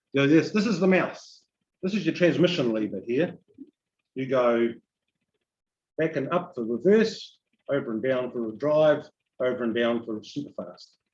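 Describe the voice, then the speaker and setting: In a New Zealand accent, a man talks at a moderate pace with a fairly high pitch and lively intonation. He leaves long, frequent pauses. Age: 60s. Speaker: EV enthusiast guest speaker. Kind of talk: informal presentation to audience. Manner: casual, conversational.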